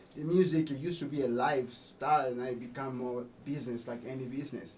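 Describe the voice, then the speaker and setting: A man at a medium pitch and fairly quick pace, with fairly even intonation and audible room echo. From Congo. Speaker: musician. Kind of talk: radio interview. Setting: radio studio.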